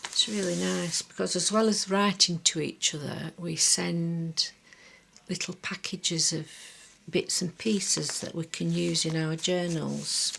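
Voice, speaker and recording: Relaxed in tone, a woman with a Lancashire accent talks at a fairly slow pace. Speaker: craft journal maker. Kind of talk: show-and-tell tutorial. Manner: chatty, relaxed with fillers.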